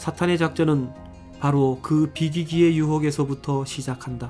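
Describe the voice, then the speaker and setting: A man's fairly high voice carries over background music. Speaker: audiobook narrator.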